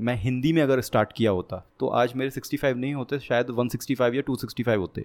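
A man's plain, everyday voice at medium pitch, dry and close with no echo, on a very clean recording against a silent background. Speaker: programming content creator. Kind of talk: casual interview.

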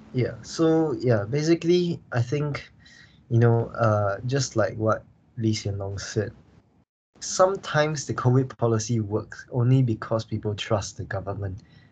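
In a quiet background, a man speaks at a fairly slow pace and medium pitch. His voice is somewhat breathy, with lively intonation. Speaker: podcast host. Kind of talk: casual discussion of current affairs. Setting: remote recording.

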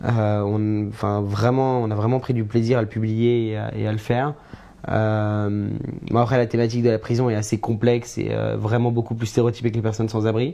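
A man speaks at a moderate pace in a medium pitch, his intonation flat and monotone, with noticeable background noise behind him. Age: 20s. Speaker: media founder. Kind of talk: casual chat. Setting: live stream.

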